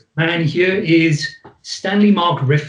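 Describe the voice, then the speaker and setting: A man with a Welsh accent speaks at a fairly high pitch with ordinary pitch variation. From Wales. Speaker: psychologist. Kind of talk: presentation to host.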